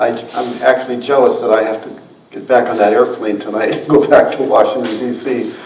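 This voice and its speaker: A man's voice with big swings in loudness, audible room echo and noticeable background noise. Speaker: museum curator and historian. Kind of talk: lecture.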